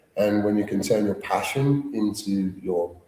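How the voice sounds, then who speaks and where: A man with a slight Cockney accent. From London. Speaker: actor. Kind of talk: interview.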